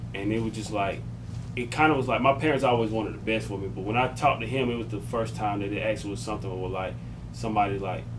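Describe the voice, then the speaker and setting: A man's fairly low voice with an American accent, ordinary pitch variation and a very fast pace, in audible room echo. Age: 20s. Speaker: podcast host. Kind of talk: casual chat.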